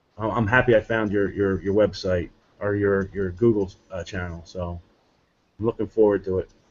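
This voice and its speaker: A fairly low-pitched man at a moderate pace, with monotone, flat intonation. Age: 40s. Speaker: martial arts student. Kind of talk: video call chat. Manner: halting, repetitive.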